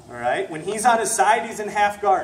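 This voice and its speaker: A high-pitched man at a moderate pace, with ordinary pitch variation, noticeable background noise and audible room echo. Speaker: jiu-jitsu instructor. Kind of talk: martial arts class instruction. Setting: gym class with students.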